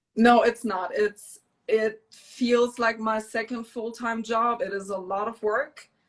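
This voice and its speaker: The speaker has a German accent and a monotone, flat intonation. The pace is very slow. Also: woman, fairly high pitch for a woman. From Germany. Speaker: DJ and small business owner. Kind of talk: interview.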